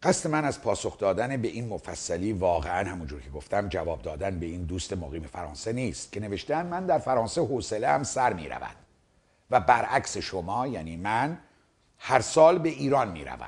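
Speaking at a fairly quick pace, a man with a fairly low pitch makes very wide pitch swings and big swings in loudness. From Iran. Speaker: video commentator. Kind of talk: monologue replying to a viewer letter. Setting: seated in front of a camera. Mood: serious, argumentative. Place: studio. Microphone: lapel.

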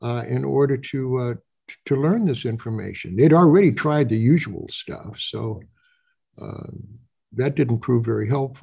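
A man with a dark, mellow, somewhat breathy tone speaks at a fairly high pitch and ordinary pitch variation. He keeps a moderate pace against a quiet background. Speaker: federal judge. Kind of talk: questioning at oral argument. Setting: video call. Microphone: video call.

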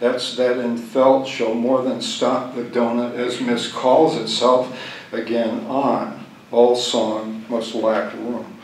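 A man talks at a very slow pace with monotone, flat intonation. Room echo is audible, along with light background noise. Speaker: poet. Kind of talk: poem reading, deadpan and unbroken, long stretch of dense fragmentary verse. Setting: stage with audience, live reading. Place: hall. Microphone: podium.

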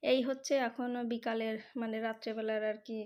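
A woman's fairly high-pitched voice stays flat and monotone, recorded very cleanly over a silent background. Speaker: vlogger. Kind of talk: casual vlog narration.

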